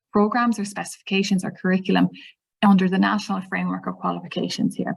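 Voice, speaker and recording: A somewhat breathy woman with an Irish accent speaks very fast at a medium pitch. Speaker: teacher trainer. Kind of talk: webinar presentation. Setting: online webinar.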